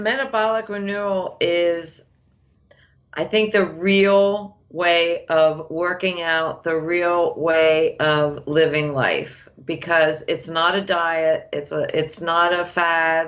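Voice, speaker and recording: This woman speaks very slowly in a fairly low pitch. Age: 50s. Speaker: program participant. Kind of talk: testimony.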